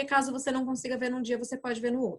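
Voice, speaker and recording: Her voice sits at a fairly high pitch for a woman. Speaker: tourism board presenter. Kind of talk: webinar presentation to travel agents. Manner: fast.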